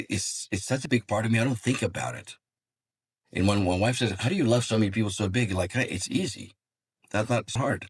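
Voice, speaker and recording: Somewhat breathy and at a moderate pace, the speaker talks with a Greek accent, recorded dry and close with no echo. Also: man. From Greece. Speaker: psychologist and executive coach. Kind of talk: interview.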